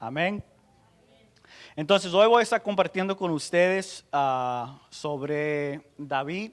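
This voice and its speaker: Speaking very slowly with an English accent, a man uses a fairly high pitch and ordinary pitch variation. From United States. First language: English (speaking Spanish). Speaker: pastor. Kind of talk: sermon. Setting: church conference with audience. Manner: halting.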